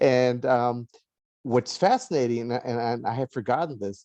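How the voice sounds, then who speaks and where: A dark, mellow tone with an American accent at a fairly quick pace, in a dry, close sound with no echo. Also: man. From Los Angeles, US. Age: 60s. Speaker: author and lawyer. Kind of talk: interview conversation. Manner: halting, many fillers and repeats.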